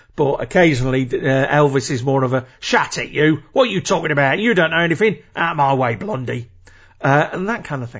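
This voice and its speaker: An ordinary speaking voice from a man, fairly high in pitch, with lively intonation at a fairly quick pace. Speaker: podcast host. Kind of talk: casual solo podcast monologue. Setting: home recording. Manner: chatty, informal.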